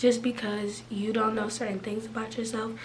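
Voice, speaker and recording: A woman with a fairly high pitch talks at a fairly quick pace. Noticeable background noise and audible room echo surround her voice. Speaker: lifestyle vlogger. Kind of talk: casual advice vlog. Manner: casual, chatty.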